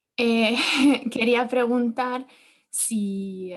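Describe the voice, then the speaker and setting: Speaking with an Italian accent, a woman uses a fairly high pitch and fairly even intonation. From Italy. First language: Italian (speaking Spanish). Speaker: architect, audience member. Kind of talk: audience question. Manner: halting, hesitant.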